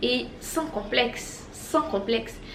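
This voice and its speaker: A woman speaks with very wide swings in pitch. Noticeable noise sits in the background. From Côte d'Ivoire. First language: an Ivorian language (not French) (speaking French). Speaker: language-learning youtuber. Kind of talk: casual motivational vlog.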